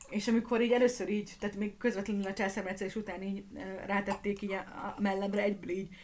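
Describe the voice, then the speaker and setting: A woman's very fast, monotone delivery with flat intonation. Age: 30s. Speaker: podcast host and streamer, new mother. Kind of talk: casual Q&A livestream chat. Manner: chaotic, rambling.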